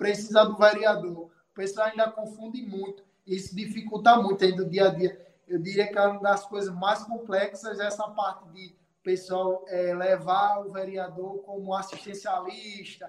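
A man's high-pitched, monotone, flat delivery at a fairly slow pace, with big swings in loudness. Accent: Rio Grande do Norte. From Rio Grande do Norte, Brazil. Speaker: city councillor. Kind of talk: casual interview.

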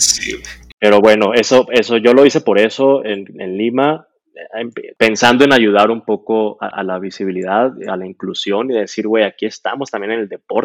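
A plain, everyday voice at a moderate pace with fairly even intonation, in a dry, close sound with no echo, on a very clean recording with a silent background. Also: man, medium pitch for a man. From Mexico, Sonora (Hermosillo). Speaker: speed skater, world champion athlete. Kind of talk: casual interview.

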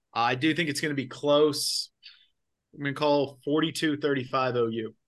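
A man's plain, everyday voice, fairly high in pitch, at a fairly quick pace with fairly even intonation. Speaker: sports podcast co-host. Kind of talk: casual sports chat.

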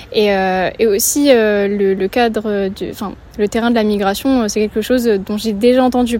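In a monotone with flat intonation, a woman speaks at a fairly high pitch. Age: 20s. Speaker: civic service volunteer. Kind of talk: interview. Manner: hesitant, many fillers.

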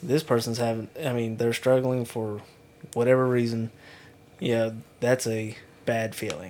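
A man's medium-pitched voice with fairly even intonation at a moderate pace. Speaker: police officer. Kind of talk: casual chat.

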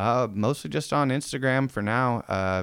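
In an American accent, a normal speaking voice moves at a moderate pace with ordinary pitch variation on a very clean recording with a silent background. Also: man. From Spokane, Washington (US Pacific Northwest). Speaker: apparel brand owner. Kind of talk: casual chat.

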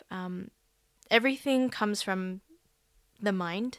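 A woman at medium pitch in an Australian accent, on a very clean recording with a silent background. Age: 20s. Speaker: life coach, podcaster. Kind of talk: solo podcast monologue. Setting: recording alone.

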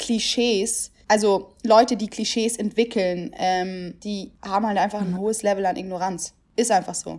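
Using a normal speaking voice, a woman at medium pitch talks at a fairly slow pace with hardly any pauses and fairly even intonation, on a very clean recording with a silent background. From Germany, Italian family from Naples. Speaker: podcast co-host. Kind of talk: casual chat.

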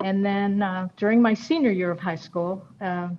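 A woman with an American accent speaks in an unremarkable speaking voice at medium pitch and a moderate pace. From New York State (Rochester area). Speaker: retired university administrator and educator. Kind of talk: interview, personal storytelling.

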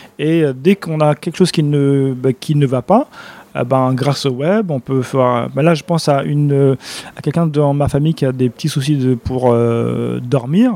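Heard dry and close with no echo, a man with a fairly high pitch and a dark, mellow tone speaks fairly slowly with ordinary pitch variation. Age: 40s. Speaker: nutrition and wellbeing speaker. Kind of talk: casual interview.

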